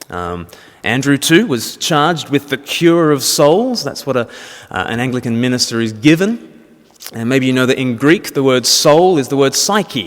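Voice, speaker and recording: A man's medium-pitched voice with lively intonation at a moderate pace, over noticeable background noise. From Australia. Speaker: Anglican minister and speaker. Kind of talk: public talk. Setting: church event with audience.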